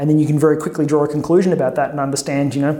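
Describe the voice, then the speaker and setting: A man with an Australian accent speaks at a fairly high pitch, with audible room echo and noticeable background noise. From Melbourne, Australia. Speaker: tech executive and academic. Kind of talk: interview.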